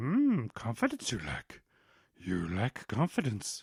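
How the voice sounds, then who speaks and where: A croaky, low-pitched put-on character voice at a fairly slow pace. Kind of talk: inverted word order.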